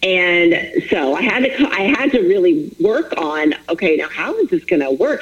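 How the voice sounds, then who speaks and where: Over noticeable background noise, a woman of medium pitch speaks at a fairly slow pace, her pitch swinging very widely. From Florida. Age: 40s. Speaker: author and fitness coach. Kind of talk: interview.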